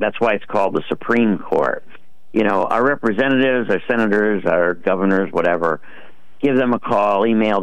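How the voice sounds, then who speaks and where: A man speaks in a plain, everyday voice, fairly low-pitched, at a moderate pace with ordinary pitch variation. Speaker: caller. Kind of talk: casual chat. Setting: phone call.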